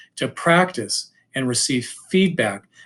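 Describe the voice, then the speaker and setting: A somewhat breathy man speaks with lively intonation. The recording is very clean, with a silent background. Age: 60s. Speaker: high school English teacher. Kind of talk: presentation / lecture.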